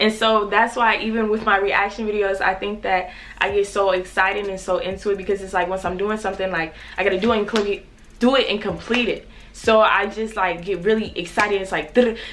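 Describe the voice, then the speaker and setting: Noticeable background noise and audible room echo accompany a woman speaking at a fairly quick pace and medium pitch. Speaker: YouTuber. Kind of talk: personal vlog confession. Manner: fast; energetic, upbeat.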